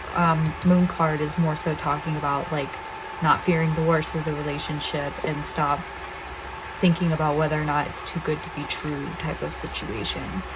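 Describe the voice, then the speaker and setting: The speaker keeps a moderate pace and a monotone, flat intonation amid audible room echo and noticeable background noise. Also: woman, very deep, low pitch for a woman. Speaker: tarot reader. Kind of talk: pick-a-card tarot reading. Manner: low energy; quiet, kept down.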